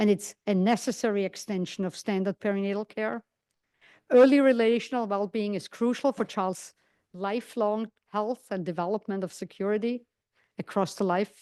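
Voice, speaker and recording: A woman's medium-pitched voice with a non-native accent, at a moderate pace and with fairly even intonation, in a dry, close sound with no echo and a quiet background. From outside English-speaking world. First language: not English. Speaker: psychiatry lecturer. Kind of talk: lecture.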